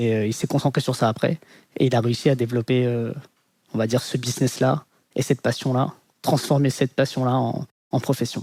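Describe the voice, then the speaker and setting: Fairly quick speech with long, frequent pauses, very even loudness, monotone, flat intonation, a dark, mellow tone and a dry, close sound with no echo. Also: man, medium pitch for a man. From Paris, France. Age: 30s. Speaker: podcast interviewee. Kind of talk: personal life story interview. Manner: hesitant, many filler sounds.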